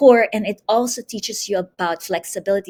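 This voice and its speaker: A woman with an unremarkable speaking voice, moderate pace and ordinary pitch variation, on a very clean recording with a silent background. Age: 60s. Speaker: Pilates instructor. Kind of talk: interview.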